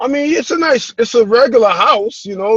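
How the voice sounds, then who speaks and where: A man in a New York accent at a fairly quick pace. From New York (Brooklyn and Queens). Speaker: real estate investor. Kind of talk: interview. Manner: halting.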